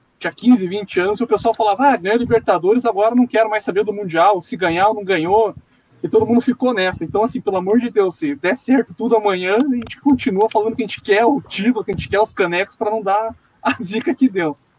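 A man's high-pitched voice at a very fast pace, with ordinary pitch variation. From Curitiba, southern Brazil. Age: 20s. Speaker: football fan commentator. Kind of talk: casual chat. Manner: animated.

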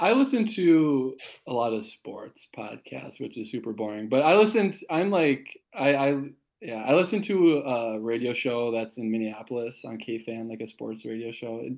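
Against a quiet background, a man with a plain, everyday voice at medium pitch talks at a moderate pace with lively intonation and big swings in loudness. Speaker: guest co-host. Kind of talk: casual chat. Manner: jokey, laughs often.

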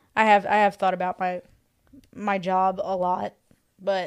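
This is a woman's voice. Her pitch sits in the medium range. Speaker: guest co-host. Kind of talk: casual chat. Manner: hesitant, many pauses.

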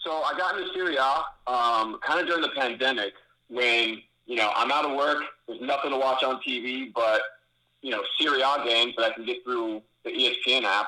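At a fairly quick pace, a man speaks with a bright, sharp tone and ordinary pitch variation. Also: medium pitch for a man. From San Francisco, California. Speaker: podcast listener, contest winner. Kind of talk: casual call-in chat.

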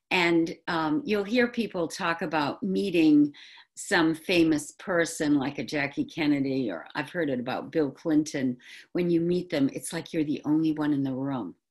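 Over a quiet background, a woman with a slight New England accent speaks with lively intonation in a very deep, low voice. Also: moderate pace. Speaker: podcaster and former acting student. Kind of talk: solo talk reminiscing.

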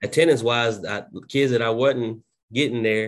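The voice carries fairly even intonation in a Southern US accent. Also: man. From southwest Oklahoma. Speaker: school principal. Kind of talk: casual interview.

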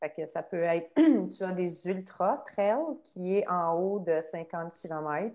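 With fairly even intonation, a woman speaks in a fairly low pitch. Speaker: trail runner. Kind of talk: casual chat.

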